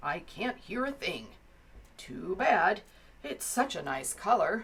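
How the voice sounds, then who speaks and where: Putting on a gruff, growling character voice, a woman speaks at medium pitch and a fairly slow pace with very wide pitch swings. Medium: read story. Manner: gruff, growly.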